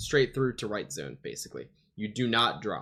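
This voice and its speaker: A man with a medium pitch speaks using lively intonation. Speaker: gaming coach reviewing match footage. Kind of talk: VOD review commentary. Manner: casual with many fillers; fast.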